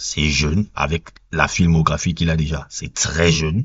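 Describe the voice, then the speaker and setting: Somewhat breathy, a man with a Cameroonian accent speaks at a fairly slow pace in a very deep, low pitch. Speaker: film reviewer. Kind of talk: casual film review monologue. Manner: hesitant with repetitions and fillers.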